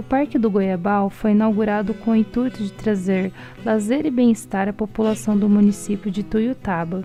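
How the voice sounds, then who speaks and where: With music in the background, a woman speaks at a moderate pace and medium pitch, using ordinary pitch variation. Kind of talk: documentary narration.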